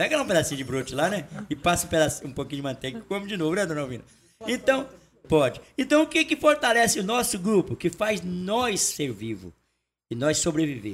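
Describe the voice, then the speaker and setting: A man speaks at a high pitch and a fairly quick pace. His pitch swings very widely. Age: 60s. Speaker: folk music group leader. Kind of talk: casual chat.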